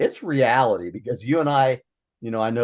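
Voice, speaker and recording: Over a quiet background, a man with an American accent speaks at a fairly quick pace with ordinary pitch variation. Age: 60s. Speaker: podcast co-host. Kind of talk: casual discussion. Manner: halting.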